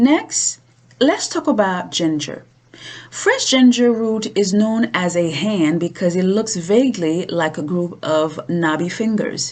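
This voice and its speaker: A woman with a non-native accent, her pitch swinging very widely. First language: not English. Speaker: cooking show host. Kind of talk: cooking tutorial.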